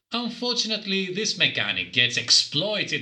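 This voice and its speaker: The pace is moderate. Behind the talking, music can be heard. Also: man. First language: not English. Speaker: game reviewer. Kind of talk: scripted review narration.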